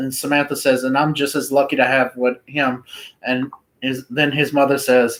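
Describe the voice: The voice reads aloud plainly. The background is quiet.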